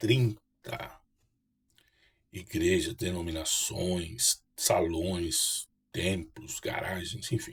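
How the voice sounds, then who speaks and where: A man speaks at a fairly low pitch in a somewhat breathy voice. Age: 60s. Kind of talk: personal testimony to camera. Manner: halting, with repetitions and fillers.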